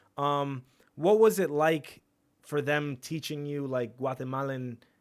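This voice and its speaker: A man speaks in a normal speaking voice, his pitch fairly high with ordinary variation. The recording is very clean, with a silent background. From New York, Long Island. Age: 30s. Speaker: podcast host. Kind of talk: casual interview chat. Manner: casual, slangy.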